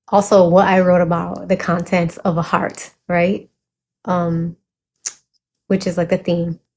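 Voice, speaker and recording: A woman talks at a fairly slow pace in a fairly low pitch. Her voice is somewhat breathy and her intonation monotone and flat. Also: long, frequent pauses. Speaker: poet and vlogger. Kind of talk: casual vlog chat with poetry reading.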